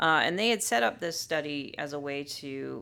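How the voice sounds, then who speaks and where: Speaking at a moderate pace with an American accent, a woman has a very deep, low pitch, a bright, sharp tone and vocal fry. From US, Southern California. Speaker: psychology professor. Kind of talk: interview. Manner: frequent filler words (um, uh).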